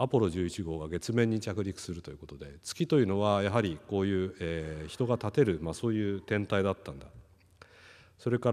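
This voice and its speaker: A man talks at a moderate pace in a very deep, low pitch with ordinary pitch variation, over a quiet background. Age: 50s. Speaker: company executive; keynote speaker. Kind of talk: panel presentation. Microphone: podium.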